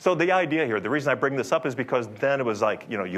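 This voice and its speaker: A man speaks at a very fast pace with a medium pitch and lively intonation. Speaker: software company executive. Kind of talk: conference talk. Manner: loud; conversational, unscripted. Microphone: speaking without microphone.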